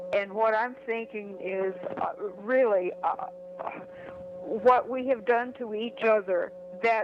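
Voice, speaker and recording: Over music in the background, a woman with a fairly high pitch and ordinary pitch variation speaks at a very slow pace, leaving long, frequent pauses. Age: 80s+. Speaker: caller. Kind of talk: call-in comment. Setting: phone call. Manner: halting.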